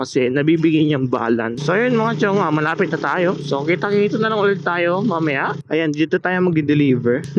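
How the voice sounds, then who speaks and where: A man shouting at a high pitch and fairly quick pace, with ordinary pitch variation. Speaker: motovlogger and delivery rider. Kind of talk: casual vlog commentary while riding. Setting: outdoors on a motorcycle. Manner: loud, near shouting.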